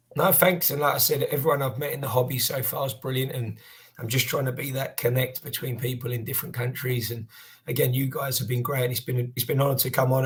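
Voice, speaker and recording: Speaking very fast with a Cockney accent, a man keeps a medium pitch and fairly even intonation against noticeable background noise. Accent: Southeast Cockney. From South London, England. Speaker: card collector and youth football coach. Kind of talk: podcast interview.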